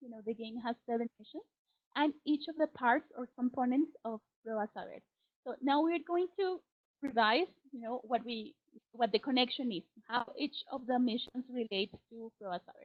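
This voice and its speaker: Speaking in a Spanish accent, a woman with a high voice keeps a moderate pace, her pitch varying in an ordinary way while her loudness swings widely. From Colombia. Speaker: teacher trainer. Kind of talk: webinar presentation. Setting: online webinar.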